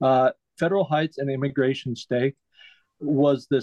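With an American accent, a man speaks in a normal speaking voice at a fairly slow pace, with fairly even intonation. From Utah, Salt Lake City. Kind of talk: casual interview chat.

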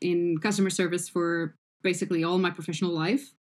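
A woman with a Portuguese accent talks at a medium pitch, her intonation fairly even. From Portugal. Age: 40s. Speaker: customer support manager. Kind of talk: interview podcast. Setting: remote call. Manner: halting.

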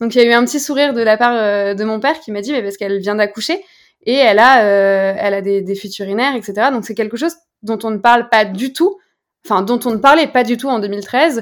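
A woman with a plain, everyday voice, fairly high in pitch with ordinary variation, at a fairly quick pace, in a very clean recording with a silent background. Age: 20s. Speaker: founder of a lingerie brand. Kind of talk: interview.

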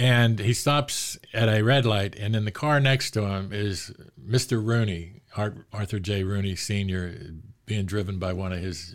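With an American accent and a normal speaking voice, a man talks at a fairly slow pace, his fairly low pitch showing ordinary pitch variation on a very clean recording with a silent background. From Pittsburgh, Pennsylvania. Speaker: sports author. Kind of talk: casual interview. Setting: studio.

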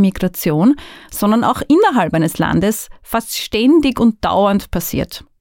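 The pitch swings very widely. The pace is fairly slow. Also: woman. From Austria, northern Burgenland. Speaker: migration researcher. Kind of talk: podcast monologue.

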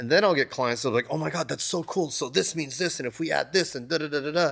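A man speaks with ordinary pitch variation. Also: very clean recording, silent background. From US (raised), born in Japan. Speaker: tattoo artist. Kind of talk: casual interview. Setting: tattoo shop. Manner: animated, filler-heavy.

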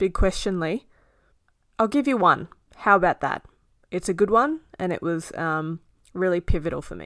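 A woman with an Australian accent speaks at a medium pitch and moderate pace, her intonation lively and her pauses long and frequent. The recording is very clean with a silent background and a dry, close sound with no echo. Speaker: podcast co-host, being interviewed. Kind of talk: casual chat, interview.

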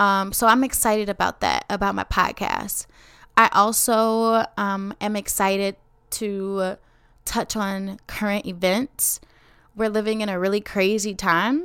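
Heard on a very clean recording with a silent background, a woman with a Chicago accent speaks at a fairly slow pace, her medium-pitched voice bright and sharp in tone. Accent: Chicago American English. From Chicago, west side. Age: 20s. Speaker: teacher and podcast host. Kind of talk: casual podcast monologue. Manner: animated.

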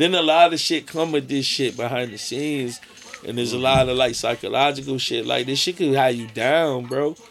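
Over noticeable background noise, a man with an American accent speaks fairly quickly at a medium pitch, his intonation fairly even. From Connecticut (Avon, near Hartford). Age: 30s. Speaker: rapper. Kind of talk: casual chat.

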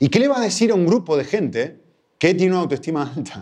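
A man with an Argentine accent and vocal fry talks at a fairly quick pace against a quiet background. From Argentina. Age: 40s. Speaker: guest preacher. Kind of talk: sermon.

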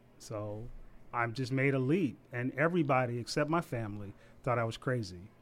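A man with an American accent, an ordinary speaking voice, medium pitch, ordinary pitch variation and a fairly quick pace. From Savannah, Georgia (US South). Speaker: barber and florist. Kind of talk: casual interview. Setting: studio.

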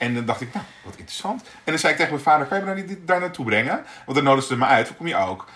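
A man at a very fast pace with hardly any pauses, very wide pitch swings and big swings in loudness, over noticeable background noise. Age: 40s. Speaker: podcast co-host. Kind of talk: casual chat. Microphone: poor amateur sound in early episode.

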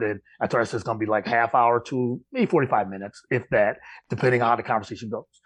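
Against a quiet background, a man with an unremarkable speaking voice, medium pitch and an American accent keeps his intonation fairly even. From upstate New York. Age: 40s. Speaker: sports podcast host. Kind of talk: interview.

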